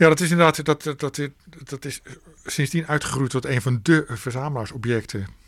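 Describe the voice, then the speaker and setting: This man has a fairly high pitch and ordinary pitch variation, speaking at a moderate pace in a very clean recording with a silent background. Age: 50s. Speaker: author and record collector. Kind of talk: radio interview. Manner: halting, frequent repetitions.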